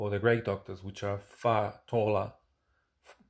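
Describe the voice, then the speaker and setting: A man speaks with a non-native accent at a fairly low pitch. His intonation is monotone and flat, in a very clean recording with a silent background. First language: not English. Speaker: UFO experiencer and musician. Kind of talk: personal talk to camera. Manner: halting, many fillers.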